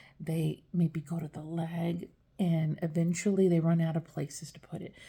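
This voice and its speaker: A somewhat breathy woman's voice, dark and mellow in tone, fairly low in pitch, at a moderate pace with big swings in loudness. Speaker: dialysis care worker. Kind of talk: casual explainer video. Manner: hesitant, many fillers and repeated words.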